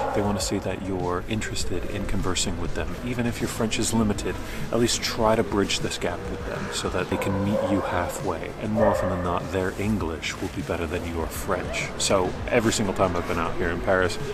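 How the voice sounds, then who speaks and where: With an American accent and a very deep, low pitch, a man speaks at a fairly quick pace with hardly any pauses and fairly even intonation, amid audible room echo and noticeable background noise. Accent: American, slightly nasal. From United States. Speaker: travel vlogger. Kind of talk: casual vlog tips. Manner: casual.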